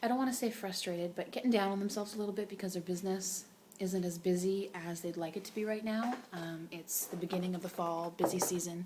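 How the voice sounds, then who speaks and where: Soft-spoken, a woman talks at a fairly quick pace with ordinary pitch variation over noticeable background noise. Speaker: direct sales consultant vlogger. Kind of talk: casual vlog talk. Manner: quiet, soft-spoken; rambling, many fillers.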